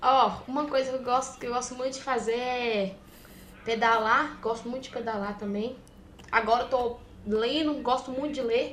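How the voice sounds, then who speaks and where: A woman speaks in a high voice. Audible room echo is present. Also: fairly even intonation, moderate pace. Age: young (18). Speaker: trader. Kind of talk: casual chat.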